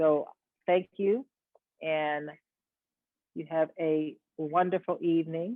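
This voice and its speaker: Slow to a very high degree, a woman speaks in a fairly low pitch with a calm tone and fairly even intonation. Her pauses are long and frequent. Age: 70s. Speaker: yoga instructor. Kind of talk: guided yoga instruction. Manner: slow, calm.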